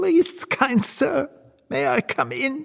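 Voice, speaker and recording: The voice is a put-on character. It is pitched high. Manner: polite, ingratiating.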